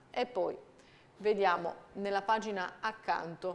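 In a very clean recording with a silent background, a woman talks at a very slow pace with a medium pitch and fairly even intonation. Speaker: TV presenter reading the press review. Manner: measured, even-paced and formal, with small hesitations ('eh') between headline clauses.

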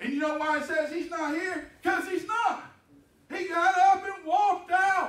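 Speaking with a Texan accent, a man uses an extremely high pitch and fairly even intonation at a moderate pace, with audible room echo. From Texas. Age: 50s. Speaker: pastor. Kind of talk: sermon. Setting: church. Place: church.

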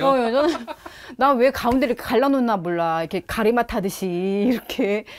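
A woman's cheerful, lively-intoned speech at a moderate pace, with light background noise. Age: 50s. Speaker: housewife. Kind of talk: casual talk in home interview. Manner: lively, chatty, cheerful.

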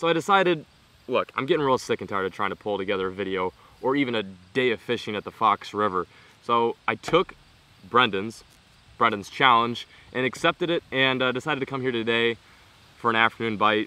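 The sound is dry with no echo as a man speaks at a fairly quick pace. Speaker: fishing vlogger. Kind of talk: casual vlog chat. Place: waterside.

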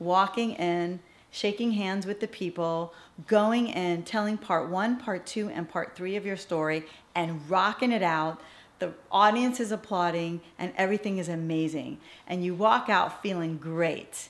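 Speaking fairly slowly, a woman uses a medium pitch with ordinary pitch variation. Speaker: TV host coach; former entertainment anchor and actress. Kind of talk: instructional talk to camera. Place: studio. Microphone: studio mic.

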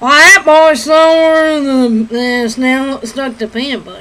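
The pitch is high in this put-on character voice. Its pace is fairly slow.

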